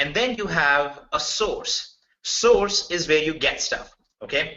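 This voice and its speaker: Fairly high male pitch with very wide swings, from a man with a strong Indian accent. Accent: thick Indian. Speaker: software developer presenting a business opportunity. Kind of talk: webinar sales presentation. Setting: online webinar. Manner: casual, conversational with fillers.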